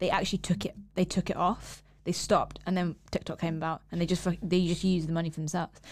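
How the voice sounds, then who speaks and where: With vocal fry and monotone, flat intonation, a woman speaks at a very fast pace and a fairly low pitch on a very clean recording with a silent background. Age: 20s. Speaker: podcast co-host. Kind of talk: casual chat.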